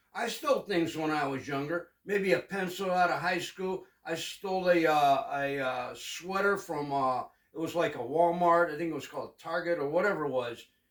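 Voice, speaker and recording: A man speaks with a high pitch and ordinary pitch variation. He leaves hardly any pauses. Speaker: co-host of religious discussion show. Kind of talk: casual religious discussion. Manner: fast and loud.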